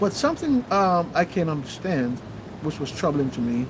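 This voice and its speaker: A man in a Jamaican accent at a moderate pace. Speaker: livestream host. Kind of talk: livestream commentary.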